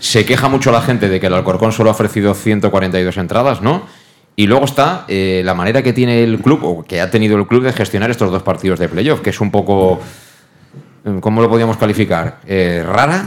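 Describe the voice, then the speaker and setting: Here a man with a fairly low pitch uses an unremarkable speaking voice, ordinary pitch variation and a moderate pace. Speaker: radio host. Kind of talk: sports talk show.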